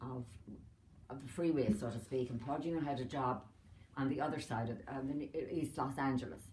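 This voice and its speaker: A woman with an Irish accent speaks fairly quickly at a very deep, low pitch, somewhat breathy. Her pitch varies in an ordinary way, and audible room echo surrounds her. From Ireland. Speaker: retired doctor. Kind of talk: family interview. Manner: halting.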